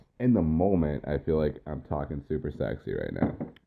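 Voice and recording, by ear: Speaking at a fairly quick pace, a man uses an extremely low pitch with vocal fry and big pitch swings.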